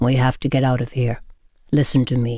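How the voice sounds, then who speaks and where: Put-on character voice from a man, medium in pitch, delivered at a moderate speed. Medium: read story. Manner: formal, clipped.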